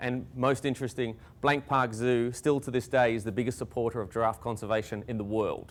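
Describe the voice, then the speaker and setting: A man with an Australian accent speaks at a fairly quick pace, his medium-pitched voice carrying fairly even intonation. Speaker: conservation scientist. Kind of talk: public talk.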